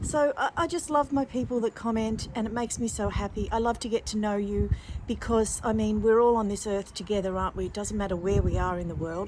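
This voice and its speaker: A woman with an Australian accent, fairly high-pitched, with ordinary pitch variation and a fairly quick pace. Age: 60s. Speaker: lifestyle vlogger. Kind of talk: casual vlog talk to camera. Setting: outdoors in garden. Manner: slight slurring and pauses after a fall; warm, gentle, chatty.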